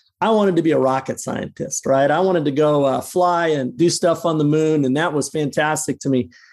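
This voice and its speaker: With an American accent and a normal speaking voice, the speaker moves at a fairly quick pace with hardly any pauses, ordinary pitch variation and very even loudness on a very clean recording with a silent background. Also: man, fairly high pitch for a man. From Colorado (Boulder). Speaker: restaurant owner-operator. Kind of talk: interview.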